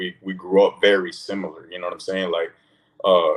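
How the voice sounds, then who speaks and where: Very deep and low, a man's voice moves at a fairly quick pace. His intonation stays monotone and flat. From California, Oakland. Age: 30s. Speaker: guest. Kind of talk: casual chat. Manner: casual, filler-heavy.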